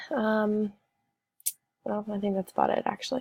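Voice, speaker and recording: This voice has a dark, mellow tone and moves at a moderate pace. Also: woman. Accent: American. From Ohio, US Midwest. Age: 20s. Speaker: student. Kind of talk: self-introduction video. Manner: hesitant with frequent fillers.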